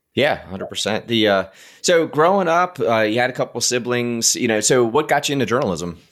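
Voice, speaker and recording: An unremarkable speaking voice from a man, medium-pitched and lively in intonation, at a fairly quick pace on a very clean recording with a silent background. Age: 40s. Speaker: podcast host. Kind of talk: casual interview.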